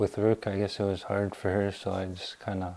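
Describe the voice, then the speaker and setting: The tone is dark and mellow. Delivery is at a moderate pace with monotone, flat intonation. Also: man. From Manitoba, Canada. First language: French. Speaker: interviewee sharing faith story. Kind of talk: interview. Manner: halting.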